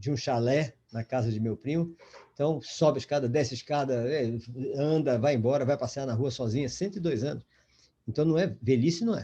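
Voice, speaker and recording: Medium in pitch, a man's voice has a dark, mellow tone and is somewhat breathy. He talks at a fairly quick pace with ordinary pitch variation. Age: 70s. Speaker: lecturer in educational psychology course. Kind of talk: online lecture. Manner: halting, with many false starts.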